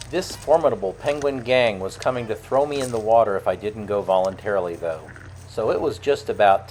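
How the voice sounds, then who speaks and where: An unremarkable speaking voice from a man, medium in pitch, with lively intonation and a fairly quick pace. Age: 60s. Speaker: travel vlogger. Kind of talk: travel vlog narration.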